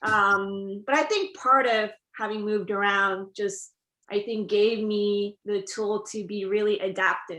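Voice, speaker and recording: A woman's medium-pitched voice in a Korean accent, bright and sharp in tone, monotone and flat, at a fairly slow pace. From South Korea. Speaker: TV writer. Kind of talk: interview.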